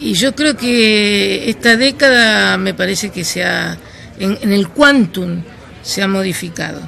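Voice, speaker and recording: A woman at a very slow pace with crowd noise in the background. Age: 60s. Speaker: anti-money-laundering expert. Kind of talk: interview. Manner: halting.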